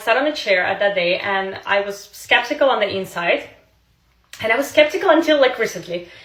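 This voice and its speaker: A woman with a Russian accent speaks at a fairly high pitch. Her tone is animated and her intonation lively. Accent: Russian accent, non-native English. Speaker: social media creator, former model. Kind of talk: casual storytelling to camera.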